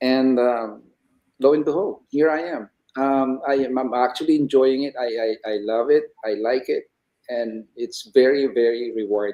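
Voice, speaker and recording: A man speaks at a moderate pace in a normal speaking voice. His pitch is medium and his intonation fairly even. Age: 60s. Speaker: retiree turned online entrepreneur. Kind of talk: interview conversation.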